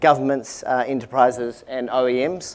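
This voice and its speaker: A man speaks with a New Zealand accent. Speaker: tech company executive. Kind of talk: product presentation. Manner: hesitant, many fillers.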